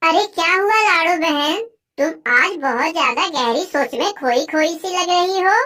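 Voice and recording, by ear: The pace stays moderate. The speaker uses a cartoonish character voice. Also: female-sounding voice, extremely high pitch for a woman.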